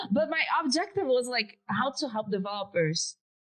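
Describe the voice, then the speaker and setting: A woman with a Brazilian accent talks at a moderate pace, her pitch swinging very widely and her voice somewhat breathy. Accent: Brazilian accent, pronunciation errors. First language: Portuguese. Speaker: developer advocate. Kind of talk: podcast interview. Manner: casual, conversational.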